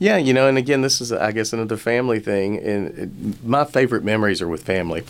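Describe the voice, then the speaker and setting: A man with a Southern US accent and ordinary pitch variation. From rural Alabama. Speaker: business school dean and finance professor. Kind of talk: radio interview.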